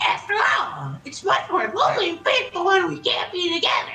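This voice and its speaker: A woman's squeaky, put-on character voice at an extremely high pitch, with big swings in loudness, a moderate pace and light background noise. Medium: game stream.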